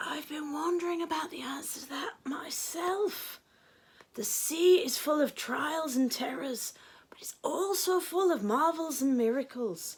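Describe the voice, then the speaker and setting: A woman puts on a character voice that is wheezy and raspy, high in pitch, with lively intonation. She speaks at a moderate pace with big swings in loudness. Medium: read story. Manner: slow, wise.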